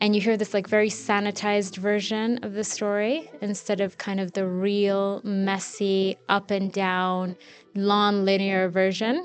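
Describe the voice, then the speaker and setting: In an American accent, a woman speaks at a fairly slow pace with hardly any pauses, in a medium pitch with monotone, flat intonation, over a quiet background. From Kenya (Nairobi), Eritrean parents. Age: 30s. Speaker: podcast host. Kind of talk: casual Q&A self-introduction. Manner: hesitant, with frequent ums and ohs.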